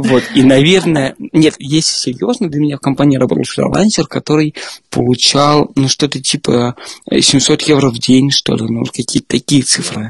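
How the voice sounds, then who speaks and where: A man with an ordinary speaking voice, fairly high in pitch with ordinary pitch variation, at a moderate pace, in a dry, close sound with no echo. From Moscow, Russia. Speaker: software developer. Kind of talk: casual interview chat.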